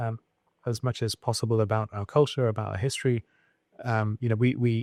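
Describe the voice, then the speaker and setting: A man of medium pitch with a Birmingham accent, fairly quick and monotone, flat in intonation, in a dry, close sound with no echo on a very clean recording with a silent background. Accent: British English, Birmingham. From England, Birmingham. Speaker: scientist and tech founder. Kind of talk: interview. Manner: halting, many fillers and repeats.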